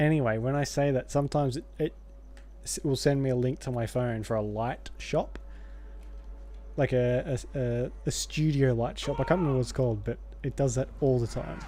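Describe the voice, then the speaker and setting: A man mumbles in a put-on character voice at a medium pitch and a moderate pace, with long, frequent pauses. Music plays in the background. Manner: mumbling.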